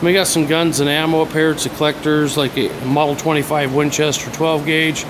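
A man with a fairly high pitch speaks in a flat monotone at very even loudness, with hardly any pauses. Noticeable background noise runs underneath. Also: moderate pace. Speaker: auctioneer. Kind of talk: auctioneer's walkthrough of sale items, sales pitch on video. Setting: video walkthrough of an auction venue. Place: workshop. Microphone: phone near.

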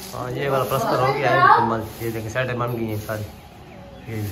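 A man with a bright, sharp tone talks at a fairly quick pace. His intonation is fairly even, and room echo is audible. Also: medium pitch for a man.

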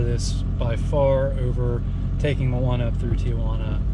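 A man's voice with an American accent, dry with no echo, amid loud background noise. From California. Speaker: travel vlogger. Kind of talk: casual chat. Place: car. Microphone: camera far.

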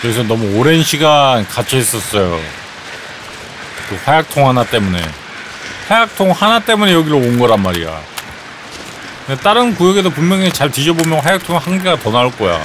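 Over noticeable background noise, a man with a fairly high pitch talks at a fairly quick pace, with very wide pitch swings and long, frequent pauses. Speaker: game streamer. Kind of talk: live gameplay commentary. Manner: animated.

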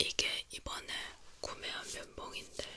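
The speaker is whispering at a very slow pace. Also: woman. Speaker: ASMR creator. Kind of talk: ASMR ear cleaning with chatty talk. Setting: binaural microphone studio. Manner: soft-spoken, whispering, casual chat. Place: home room. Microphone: studio mic.

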